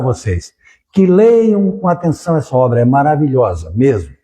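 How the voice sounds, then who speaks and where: A man's dark, mellow, somewhat breathy voice with very wide pitch swings. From southern Brazil, Criciúma (Santa Catarina). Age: 70s. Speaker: spiritist lecturer, lawyer. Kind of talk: public lecture.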